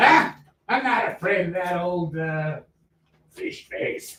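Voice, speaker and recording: A man puts on a character voice, high-pitched, raised and projected. He goes at a fairly slow pace, with a slight echo. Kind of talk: campy melodrama pirate. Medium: stage play. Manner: blustering, gruff.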